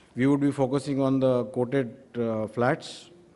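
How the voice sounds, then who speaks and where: With an ordinary speaking voice, a man talks at medium pitch and a fairly slow pace, his intonation fairly even. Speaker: steel industry expert speaker. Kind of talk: conference talk.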